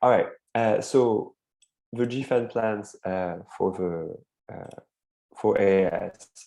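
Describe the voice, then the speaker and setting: A man with a French accent speaks in a fairly low voice with a dark, mellow tone and ordinary pitch variation. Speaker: advocacy network coordinator hosting a call. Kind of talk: online meeting presentation. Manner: hesitant, many fillers.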